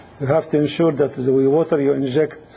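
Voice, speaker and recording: Over noticeable background noise, a man talks with a fairly high pitch and fairly even intonation. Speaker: engineering instructor. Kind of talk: lecture. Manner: hesitant, many fillers.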